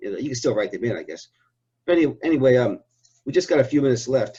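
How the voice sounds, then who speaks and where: A man speaks in a somewhat breathy voice with a dark, mellow tone at a medium pitch. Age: 60s. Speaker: interviewer. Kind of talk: interview.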